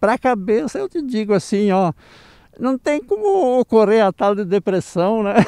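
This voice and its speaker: Against a quiet background, a man speaks at a fairly slow pace in a dark, mellow tone. His pitch varies in an ordinary way, and the sound is dry with no echo. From Catuípe, Rio Grande do Sul, Brazil. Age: 70s. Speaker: retired engineer, agronomy graduate. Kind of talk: interview answer. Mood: warm, upbeat. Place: open country. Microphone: handheld.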